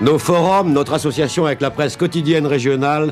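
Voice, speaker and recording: A man speaks at a moderate pace with ordinary pitch variation and a fairly high pitch. Music plays in the background. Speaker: radio journalist and news presenter. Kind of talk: radio news programme introduction.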